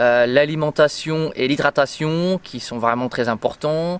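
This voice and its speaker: This man's pitch moves in an ordinary way. His pace is very slow. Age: 30s. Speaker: nurse and amateur ultra-trail runner. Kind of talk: interview. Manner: hesitant, many fillers.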